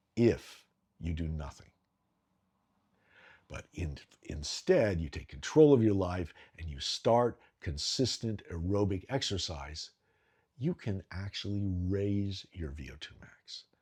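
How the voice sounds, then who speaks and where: On a very clean recording with a silent background, a man speaks in a very deep, low, somewhat breathy voice with lively intonation and big swings in loudness. His pace is fairly slow, broken by long, frequent pauses. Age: 60s. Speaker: health and fitness vlogger. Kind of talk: talking-head explainer video.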